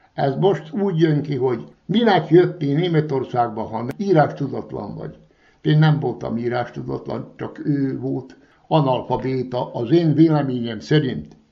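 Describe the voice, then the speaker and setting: A man with an ordinary speaking voice at a medium pitch, lively intonation, big swings in loudness, and a fairly slow pace. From Vojvodina, Serbia (Kishegyes). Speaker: retired former guest worker. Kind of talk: interview.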